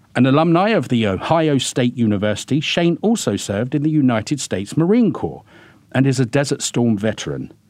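A man speaks at a fairly quick pace with medium pitch. His loudness stays very even. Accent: British. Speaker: podcast host and immigration lawyer. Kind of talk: scripted intro then interview conversation. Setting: recording studio.

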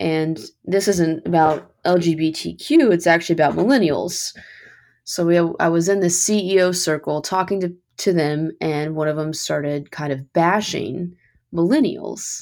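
A woman's normal speaking voice, fairly low in pitch with ordinary pitch variation, with an American accent at a moderate pace, on a very clean recording with a silent background. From Kentucky, US. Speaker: podcast host. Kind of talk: podcast interview.

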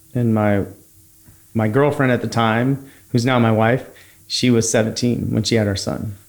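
With an American accent, a man in a normal speaking voice talks at a medium pitch, a fairly slow pace and fairly even intonation. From San Francisco Bay Area, California. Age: 30s. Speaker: HVAC company founder. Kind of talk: casual interview.

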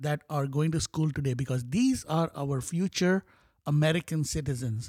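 A man with a fairly high pitch and a dark, mellow, somewhat breathy tone talks at a moderate pace with ordinary pitch variation, in a very clean recording with a silent background and a dry, close sound with no echo. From Bahrain, Indian heritage. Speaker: school board candidate. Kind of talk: casual interview.

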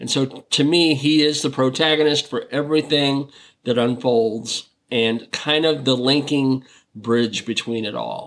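A man talks in a plain, everyday voice, at medium pitch and a fairly slow pace, with ordinary pitch variation. The recording is very clean, with a silent background. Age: 50s. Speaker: film critic. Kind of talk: casual film discussion.

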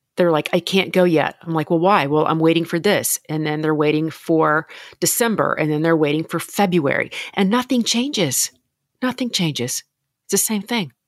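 A woman with an American accent speaks at a moderate pace in an unremarkable speaking voice, fairly low in pitch with lively intonation, on a very clean recording with a silent background. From Louisiana, US South. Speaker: podcast host and confidence coach. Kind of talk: interview.

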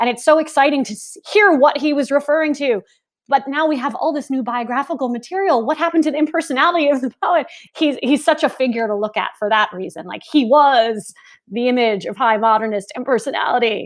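On a very clean recording with a silent background, a woman speaks at a high pitch and a fairly quick pace with lively intonation. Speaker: literature professor. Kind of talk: scholarly conversation.

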